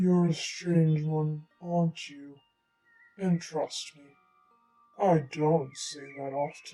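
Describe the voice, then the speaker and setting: A raspy, put-on character voice at middle pitch speaks at a very slow pace. Long pauses come often. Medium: read story. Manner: condescending, grumpy.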